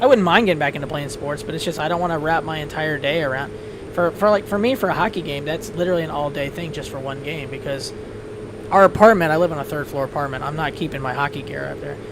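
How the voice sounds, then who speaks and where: At a very fast pace with ordinary pitch variation, the voice comes through noticeable background noise. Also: man, fairly high pitch for a man. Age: 40s. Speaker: flight sim streamer. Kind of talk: casual chat. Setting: live stream.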